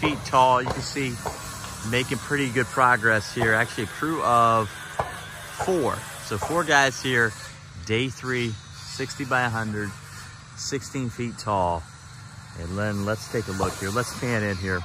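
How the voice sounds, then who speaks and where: Fairly slow speech with long, frequent pauses, a dry sound without echo, and music in the background. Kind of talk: casual walkthrough commentary. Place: open country. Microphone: phone near.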